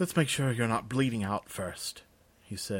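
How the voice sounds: The speaker reads in a natural reading voice, and the pitch varies in an ordinary way.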